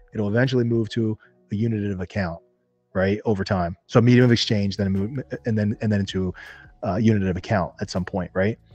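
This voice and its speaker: A man talks at a very fast clip with fairly even intonation, his voice dry and close with no echo while music plays in the background. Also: fairly low pitch for a man. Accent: American. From New Jersey, US. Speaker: entrepreneur and investor. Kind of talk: interview podcast.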